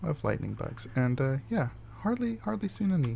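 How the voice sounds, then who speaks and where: A soft-spoken man is talking. His pace is moderate. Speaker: gaming video creator. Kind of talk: casual gameplay commentary. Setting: home recording with OBS. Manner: halting, many fillers. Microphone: voice quiet relative to game audio.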